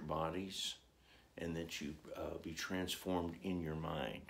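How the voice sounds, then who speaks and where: Fairly even intonation from a male speaker with a very deep, low pitch. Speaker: religious teacher. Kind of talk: sermon. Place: home room. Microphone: phone near.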